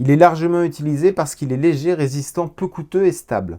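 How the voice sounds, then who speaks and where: Over a silent background on a very clean recording, a man talks at a moderate pace. His dark, mellow voice is fairly high in pitch, with ordinary pitch variation. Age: 40s. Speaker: patient sharing testimony. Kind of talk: testimony. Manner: hesitant, many filler sounds.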